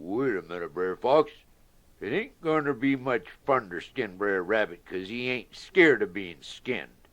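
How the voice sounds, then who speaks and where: Against a quiet background, a man puts on a gruff, rumbling character voice at medium pitch and a moderate pace. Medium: read story. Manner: grumbling, gruff.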